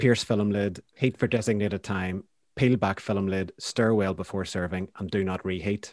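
Speaking with a Northern Irish accent, a man keeps a fairly quick pace and a fairly low pitch. His intonation is fairly even, and the sound is dry and close with no echo. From Northern Ireland, County Down (Banbridge). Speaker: poet. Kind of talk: casual interview.

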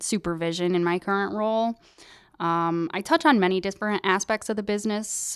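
Talking at a fairly quick pace, a woman with an unremarkable speaking voice keeps a medium pitch and ordinary pitch variation. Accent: American. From US, upstate New York. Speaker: manufacturing supervisor. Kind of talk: interview.

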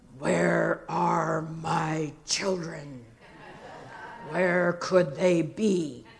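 Raspy and rumbling, a put-on character voice at a middle pitch moves at a very slow pace. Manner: playful, teasing.

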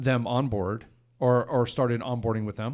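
A man with a normal speaking voice talks at a medium pitch with ordinary pitch variation, captured in a very clean recording with a silent background. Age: 50s. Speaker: podcast host and tech company president. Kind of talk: casual interview chat.

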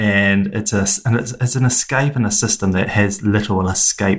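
A man speaks at a fairly low pitch with a fairly bright tone. His pace is moderate and his intonation fairly even.

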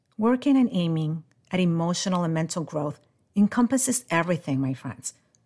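A woman speaks at a moderate pace in a fairly low pitch, her tone dark and mellow and somewhat breathy. The recording is very clean, with a silent background. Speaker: podcast host, life coach. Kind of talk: motivational talk.

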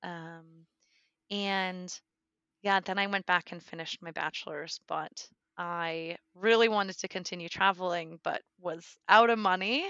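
With an American accent, a woman talks at a fairly slow pace, her intonation fairly even but her loudness swinging widely. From US Northeast, coastal Connecticut. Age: 20s. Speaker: expat interviewee. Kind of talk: interview conversation. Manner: halting.

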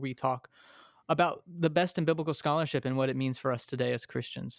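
An unremarkable speaking voice belongs to a man with fairly high pitch and ordinary pitch variation, speaking at a fairly quick pace. The recording is very clean, with a silent background. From Texas, small town. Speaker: pastor, professor and author. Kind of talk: interview conversation.

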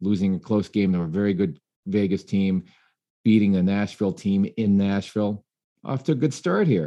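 This man's voice sits fairly low in pitch with a dark, mellow tone. He keeps a moderate pace. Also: ordinary pitch variation, quiet background. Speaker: podcast host. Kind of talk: casual roundtable discussion.

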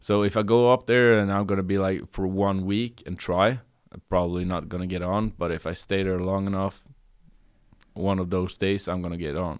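With a Norwegian accent, a man talks at a moderate pace in a very deep, low voice and a flat monotone, over a quiet background. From Norway, Bergen. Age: 30s. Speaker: comedian. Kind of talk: casual chat. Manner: halting.

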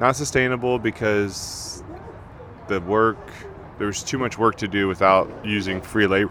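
Noticeable background noise sits behind a man's fairly low voice. He keeps a moderate pace and fairly even intonation. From California. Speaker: chef. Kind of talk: casual chat.

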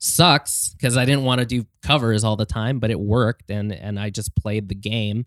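In a plain, everyday voice, a man speaks at a moderate pace with hardly any pauses, his medium pitch varying in an ordinary way, on a very clean recording with a silent background and a dry, close sound with no echo. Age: 30s. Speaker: pop-punk musician. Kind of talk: casual chat. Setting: studio.

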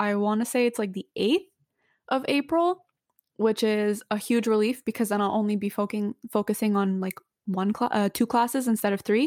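In a very clean recording with a silent background and a dry, close sound with no echo, a woman talks at a moderate pace with ordinary pitch variation. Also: fairly high pitch for a woman. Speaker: university student and podcast co-host. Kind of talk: casual chat.

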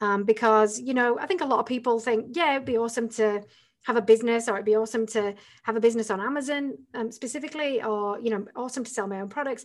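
Talking very fast with an English accent, a woman uses a fairly high pitch and ordinary pitch variation. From northern England. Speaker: entrepreneur and business coach. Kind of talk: interview.

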